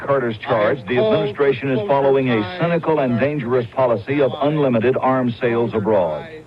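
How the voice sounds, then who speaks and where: Fairly quick and with hardly any pauses, a man speaks at a medium pitch with lively intonation. His loudness stays very even over noticeable background noise. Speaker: TV news correspondent. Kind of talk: TV news report.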